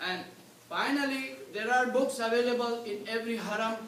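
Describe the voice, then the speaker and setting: The speech holds a moderate pace while noticeable background noise runs underneath. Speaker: pilgrimage tour organizer. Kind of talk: information seminar. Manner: loud.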